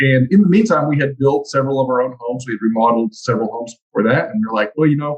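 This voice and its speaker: A man with a Texan accent, somewhat breathy, at a very fast pace with lively intonation and hardly any pauses. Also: medium pitch for a man. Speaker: construction trades educator. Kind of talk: casual interview.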